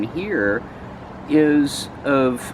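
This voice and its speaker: A man's voice over noticeable background noise. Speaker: local activist video host. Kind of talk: casual chat. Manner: loud.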